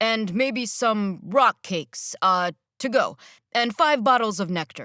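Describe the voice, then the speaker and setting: In a put-on character voice, a woman speaks at a fairly slow pace and fairly high pitch on a very clean recording with a silent background. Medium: read story. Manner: uncertain.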